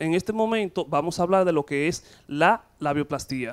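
A fairly slow pace against a quiet background. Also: man. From Dominican Republic. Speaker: gynecologist. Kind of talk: TV interview. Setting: studio. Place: studio. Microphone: handheld.

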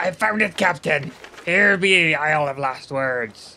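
In a put-on character voice pitched fairly high, a man delivers his lines at a moderate pace. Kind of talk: comedic pirate roleplay over gameplay.

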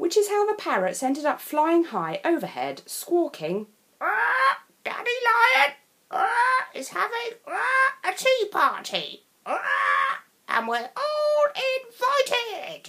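A woman speaks at a very slow pace in a raised, projected voice, her extremely high pitch swinging very widely. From England. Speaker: storyteller. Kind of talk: children's picture book read-aloud.

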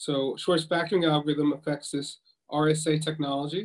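A man talks with fairly even intonation against a quiet background. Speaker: professor giving a lecture. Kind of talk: lecture. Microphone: video call.

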